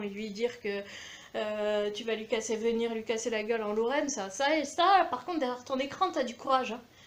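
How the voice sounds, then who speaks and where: A woman's high voice, moderately paced and with ordinary pitch variation. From France, Aveyron (Millau). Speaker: video blogger. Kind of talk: rant to camera. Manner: animated.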